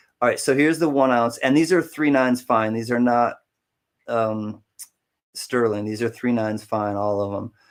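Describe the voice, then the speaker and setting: A man speaks in a plain, everyday voice at a medium pitch with fairly even intonation, recorded very cleanly against a silent background. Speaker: live auctioneer. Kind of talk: live auction hosting, casual and chatty.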